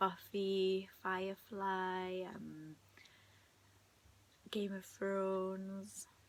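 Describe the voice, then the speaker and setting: A woman is soft-spoken. She talks at a very slow pace. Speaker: video blogger. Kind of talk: casual chat. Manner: halting.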